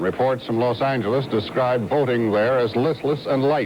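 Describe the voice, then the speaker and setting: A man's fairly quick, fairly even delivery in an American accent, with noticeable background noise. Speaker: news anchor. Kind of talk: TV news report.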